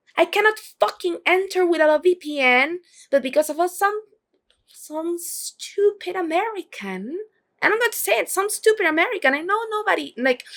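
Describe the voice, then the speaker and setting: A woman's extremely high voice with very wide pitch swings, at a moderate pace. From Venezuela. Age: 20s. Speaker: vlogger. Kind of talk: casual vlog monologue. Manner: animated.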